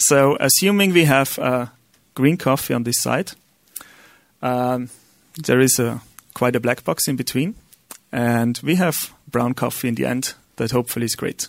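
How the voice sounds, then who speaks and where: A man with an Austrian accent speaks at medium pitch with ordinary pitch variation. His pace is moderate, broken by long, frequent pauses. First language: German. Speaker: software entrepreneur. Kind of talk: lecture. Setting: stage with audience. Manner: halting.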